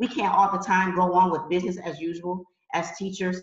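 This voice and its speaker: A woman speaks with an American accent at medium pitch. She has a plain, everyday voice and a moderate pace. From US Midwest (Detroit). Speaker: professor. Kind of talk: panel discussion.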